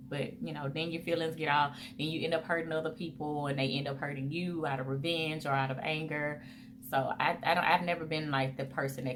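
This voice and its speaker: With audible room echo, a woman speaks in a very deep, low pitch and fairly even intonation. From US South, Mobile, Alabama. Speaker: vlogger. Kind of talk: casual Q&A vlog. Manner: chatty, conversational.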